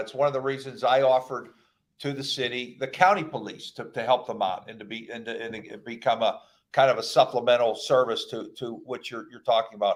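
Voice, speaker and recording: A man speaks at a medium pitch with an American accent, in a plain, everyday voice. His pace is fairly quick, and his loudness swings widely. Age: 60s. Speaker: county executive, politician. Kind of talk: radio interview.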